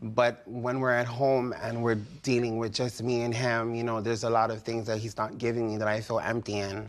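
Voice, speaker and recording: A man's medium-pitched, monotone voice at a fairly quick pace with hardly any pauses, amid noticeable background noise and audible room echo. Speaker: litigant on a TV divorce show. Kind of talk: TV courtroom testimony. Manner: loud; halting, many ums.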